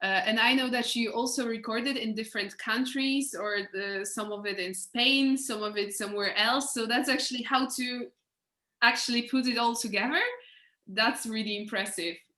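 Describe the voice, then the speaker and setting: A woman with a non-native accent speaks in a fairly high voice. Her pace is moderate and her intonation fairly even. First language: not English. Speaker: interviewer. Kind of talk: interview. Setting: live video stream. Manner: halting.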